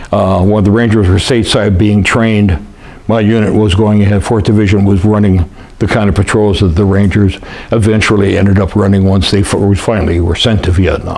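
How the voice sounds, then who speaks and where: A man's fairly low, monotone voice with an American accent, very even loudness, audible room echo and noticeable background noise. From US West, Lake Tahoe area. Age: 70s. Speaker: war veteran. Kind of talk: oral history interview. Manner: halting, many fillers.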